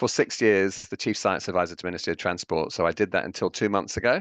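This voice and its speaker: In a fairly low voice with an English accent, a man speaks very fast against a quiet background. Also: dry, close sound with no echo. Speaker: professor. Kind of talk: panel discussion. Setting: video call.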